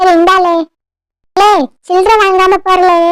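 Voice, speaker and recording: In a cartoonish character voice, a woman squeaks at an extremely high pitch. She talks at a fairly slow pace. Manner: mocking, nosy.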